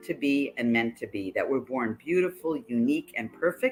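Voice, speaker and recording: With music playing behind her, a woman with a New York accent talks at a moderate pace, her pitch swinging very widely. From New York City. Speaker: life coach. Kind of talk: interview.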